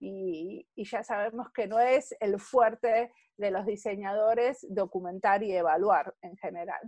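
A woman with an Argentine accent speaks at a medium pitch and a fairly slow pace, with hardly any pauses. Her pitch varies in an ordinary way, her loudness swings widely, and the sound is dry and close with no echo. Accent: Argentine Spanish (Rioplatense). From Argentina. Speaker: service designer. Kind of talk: interview.

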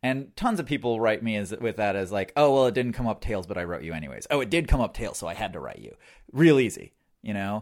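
A man speaks very fast with lively intonation and a medium pitch. The recording is very clean, with a silent background. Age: 30s. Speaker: online dating enthusiast. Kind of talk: casual chat.

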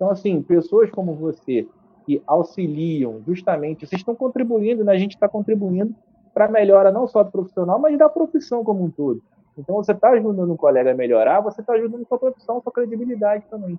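A man talks very fast in a high voice, his pitch swinging very widely up and down. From Brazil, Rio de Janeiro state (Niterói, Serra region). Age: 30s. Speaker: journalist. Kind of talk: casual interview. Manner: loud.

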